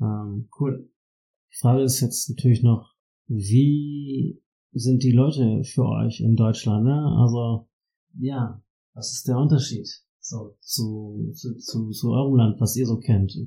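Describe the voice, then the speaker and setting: At a very slow pace, a man with a medium-pitched, dark, mellow, somewhat breathy voice speaks with fairly even intonation. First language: German (speaking Spanish). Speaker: podcast host. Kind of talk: casual chat.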